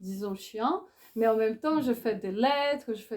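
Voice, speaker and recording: Her intonation is fairly even and her tone dark and mellow. The woman's pitch is fairly high. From Brazil. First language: Portuguese (speaking French). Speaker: philosopher and author. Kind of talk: book talk interview. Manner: halting, with hesitations.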